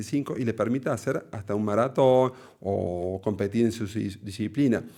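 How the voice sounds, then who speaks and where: Very clean, silent-background recording of a man speaking fairly slowly, pitch shifting in a normal way. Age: 40s. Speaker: cardiologist. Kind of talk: interview conversation. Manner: halting, many fillers.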